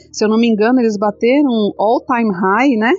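A woman talking at a fairly quick pace, with music in the background. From Brazil, São Paulo city outskirts. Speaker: crypto content creator and stake pool co-founder. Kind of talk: casual interview.

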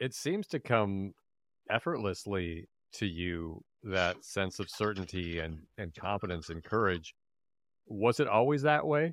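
Using an ordinary speaking voice, a man with a fairly low pitch talks at a fairly slow pace with lively intonation. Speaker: podcast host and improviser. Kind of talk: casual interview chat.

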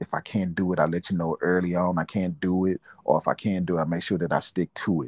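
Against a quiet background, a man's very deep, low voice comes through monotone and flat, with a dry, close sound with no echo. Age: 40s. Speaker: father and aspiring minister. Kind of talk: casual interview. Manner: halting.

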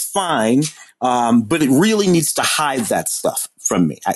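With lively intonation, a man talks at a fairly slow pace in an ordinary speaking voice. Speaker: podcast co-host, film critic. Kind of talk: casual chat.

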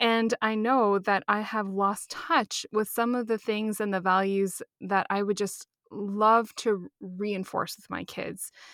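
A woman speaks very slowly, with hardly any pauses. Her medium-pitched voice stays monotone and flat. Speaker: podcast co-host. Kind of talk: casual chat.

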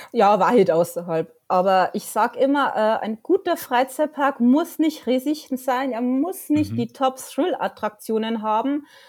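A woman's high voice at a fairly slow pace, with very wide pitch swings and hardly any pauses. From Bavaria, Lower Bavaria near Dingolfing. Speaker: freelance journalist and theme park fan. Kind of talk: casual interview. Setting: at home on couch, remote call.

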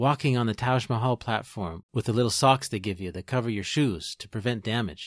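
In a plain, everyday voice, a man talks at a fairly quick pace with medium pitch and ordinary pitch variation, recorded dry and close with no echo, very clean, with a silent background. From Ontario, Canada (Peterborough). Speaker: podcast host. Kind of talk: scripted narration.

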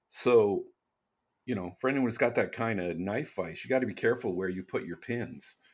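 In a very clean recording with a silent background, a man with a normal speaking voice and medium pitch speaks with ordinary pitch variation. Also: moderate pace. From Canada. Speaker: knife maker, YouTuber and podcast co-host. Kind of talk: casual chat.

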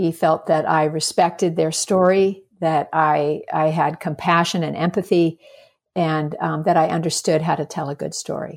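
Over a very clean recording with a silent background, a woman with an American accent speaks at a moderate pace in a fairly low pitch, her intonation monotone and flat. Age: 60s. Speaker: filmmaker. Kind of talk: interview.

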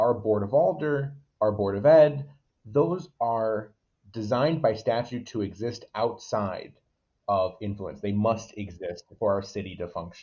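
A man with an American accent speaks fairly slowly at medium pitch, somewhat breathy, with lively intonation. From Waterbury, Connecticut. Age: 20s. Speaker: local political candidate. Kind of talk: casual interview.

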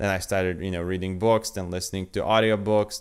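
A man with a Polish accent and fairly even intonation, on a very clean recording with a silent background. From Poland. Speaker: podcast host, copywriter. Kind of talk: solo talk, advice monologue. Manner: halting, many fillers.

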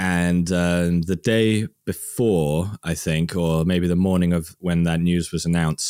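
Speaking at a fairly slow pace, a man with a very deep, low pitch and a West Midlands accent is heard on a very clean recording with a silent background. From England, Worcester. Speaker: science video creator. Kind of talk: casual chat.

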